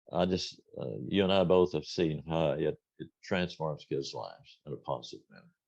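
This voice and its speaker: With vocal fry and a very deep, low pitch, a man speaks at a moderate pace, his pitch varying in an ordinary way while his loudness swings widely. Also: hardly any pauses. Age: 80s+. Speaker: retired band director, music educator. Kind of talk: interview.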